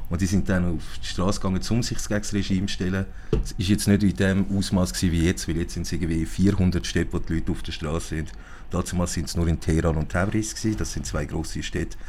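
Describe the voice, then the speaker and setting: Speech comes at a very fast pace in a Zurich accent, with fairly even intonation. Room echo is audible. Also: man, very deep, low pitch for a man. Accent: Swiss German (Zurich). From Zurich, Switzerland. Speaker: guest with Iranian family background. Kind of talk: casual interview. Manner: halting, many fillers.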